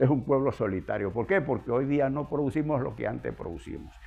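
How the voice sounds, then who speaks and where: A man at a moderate pace with very wide pitch swings, music in the background. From Venezuela, Andes (Zea, Mérida state). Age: 80s+. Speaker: geographer and local historian. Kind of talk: interview. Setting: at his home.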